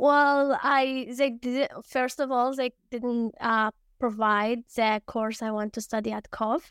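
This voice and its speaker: A woman with an Arabic accent speaks very slowly with hardly any pauses, her high voice fairly even in intonation, in a very clean recording with a silent background and a dry, close sound with no echo. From Syria. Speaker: university student. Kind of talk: interview.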